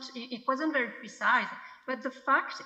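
A woman with a French accent. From France. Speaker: film editor. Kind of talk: festival Q&A. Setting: video call. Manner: halting.

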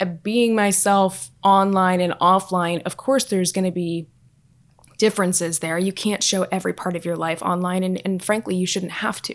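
A woman speaks with a plain, everyday voice at a medium pitch. Her pace is moderate and her intonation fairly even. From Southern California. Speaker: fashion influencer. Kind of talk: casual chat.

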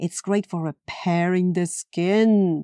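In a very clean recording with a silent background and a dry, close sound with no echo, a woman with a Latin American accent speaks at a fairly low pitch in a dark, mellow tone. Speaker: podcast host, yoga teacher.

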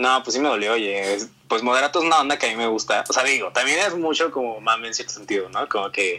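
A man with a medium pitch speaks at a very fast pace, his intonation lively and his tone bright and sharp. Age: 20s. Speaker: singer and former youtuber. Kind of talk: casual interview. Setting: call over the internet.

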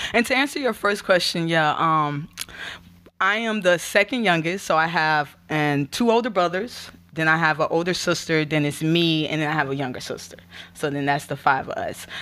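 In a Florida accent, a woman speaks at a moderate pace with fairly low pitch. Her tone is bright and sharp, and her intonation is lively. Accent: US Southern (Florida). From Gainesville/Alachua, Florida. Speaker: spoken word artist and nonprofit outreach director. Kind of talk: testimony.

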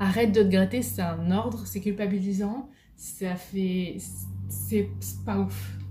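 The speaker is a woman. Room echo is audible. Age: 20s. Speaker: podcast host. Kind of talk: casual monologue. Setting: at home on video.

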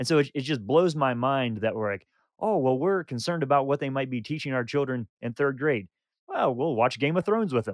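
An unremarkable speaking voice belongs to this man, who talks at a fairly quick pace with lively intonation in a dry, close sound with no echo over a quiet background. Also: medium pitch for a man. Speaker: podcast co-host. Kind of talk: casual conversational discussion.

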